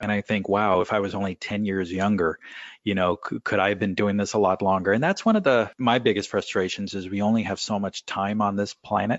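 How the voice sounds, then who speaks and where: A man with an American accent speaks in a normal speaking voice, fairly low in pitch, at a fairly quick pace with fairly even intonation. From California. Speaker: financial planner. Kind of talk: interview.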